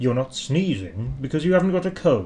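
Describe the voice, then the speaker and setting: Over clear background noise, a man at medium pitch does a put-on character voice with very wide pitch swings. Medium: read story.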